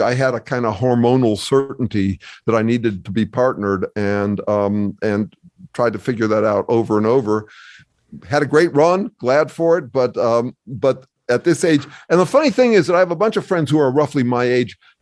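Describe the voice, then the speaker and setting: A normal speaking voice from a man at medium pitch, with lively intonation, a moderate pace and a quiet background. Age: 60s. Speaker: academic researcher and author. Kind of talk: casual interview conversation.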